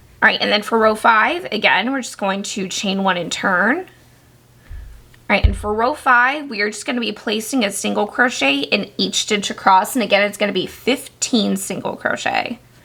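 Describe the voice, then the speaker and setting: This woman's tone is bright and sharp, with vocal fry. Her pitch varies in an ordinary way. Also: fairly high pitch for a woman, moderate pace. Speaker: crochet tutorial maker. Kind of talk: tutorial.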